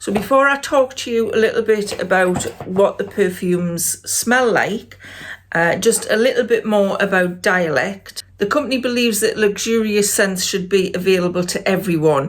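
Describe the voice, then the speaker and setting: Speaking at a moderate pace, a woman talks with a Geordie accent. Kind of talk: casual talk to camera.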